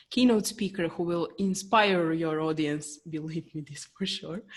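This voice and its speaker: At a moderate pace, this is an unremarkable speaking voice. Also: woman. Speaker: business coach. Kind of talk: podcast host introduction.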